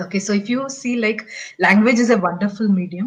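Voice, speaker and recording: Somewhat breathy speech from a woman with a Tamil accent, medium in pitch, with ordinary pitch variation. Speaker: show host. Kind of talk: interview. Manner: halting.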